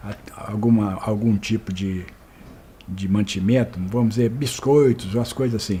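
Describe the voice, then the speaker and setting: At a fairly slow pace, a man talks in a dark, mellow, somewhat breathy tone with fairly even intonation. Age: 70s. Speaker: retired store manager, oral history interviewee. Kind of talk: oral history interview. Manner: halting, many repetitions and false starts.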